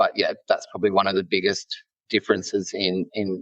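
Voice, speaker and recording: In an Australian accent, the speaker goes at a moderate pace, the sound dry and close with no echo. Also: man. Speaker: nurse leader. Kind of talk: podcast interview.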